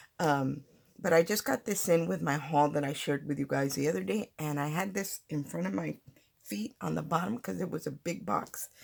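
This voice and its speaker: A woman with a very deep, low pitch and vocal fry speaks at a moderate pace, her pitch swinging very widely. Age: 60s. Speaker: papercraft channel host. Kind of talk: tutorial. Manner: casual, halting with fillers.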